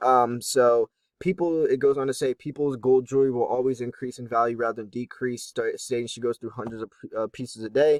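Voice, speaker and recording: A man with a medium-pitched voice talks at a fairly quick pace with hardly any pauses, his intonation fairly even but with big swings in loudness. The sound is dry and close, with no echo. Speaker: precious metals YouTuber. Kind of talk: casual commentary on an article. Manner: fast; hesitant with fillers.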